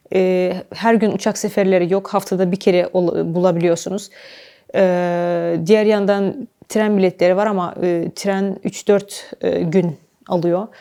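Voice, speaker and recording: A woman speaks at a very slow pace with a dark, mellow tone and monotone, flat intonation. The recording is very clean, with a silent background. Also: medium pitch for a woman. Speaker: travel documentary presenter. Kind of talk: travel vlog narration. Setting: outdoors.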